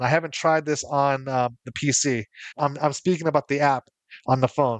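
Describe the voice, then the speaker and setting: At a moderate pace, a man talks with fairly high pitch and fairly even intonation. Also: dry, close sound with no echo. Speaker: content creator reviewing tech tools. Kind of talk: product review. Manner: halting, many repeated words.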